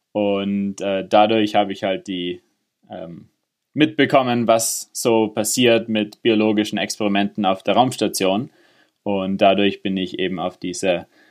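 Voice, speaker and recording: Delivery is very slow. The intonation holds fairly even. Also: man. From Innsbruck, Austria, then Germany. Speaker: space engineer. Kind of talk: interview. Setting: remote internet call.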